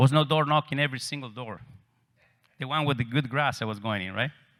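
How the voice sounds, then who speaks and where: With an Argentine accent, a man at medium pitch speaks in a bright, sharp tone with ordinary pitch variation on a very clean recording with a silent background. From Argentina, Cordoba. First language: Spanish. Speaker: real estate agent. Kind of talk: conference talk.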